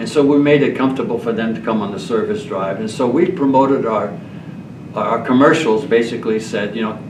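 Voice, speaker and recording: A man talks at a fairly quick pace. There is noticeable background noise and audible room echo. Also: medium pitch for a man, ordinary pitch variation. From Quebec, Montreal. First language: French. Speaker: retired car dealer and donor. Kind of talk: panel discussion. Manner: halting.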